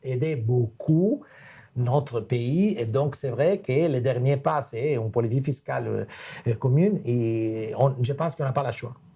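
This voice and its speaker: A man with a non-native accent speaks at a fairly slow pace and medium pitch, his tone dark and mellow, somewhat breathy, with lively intonation. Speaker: macro analyst. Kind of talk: webinar Q&A. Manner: halting.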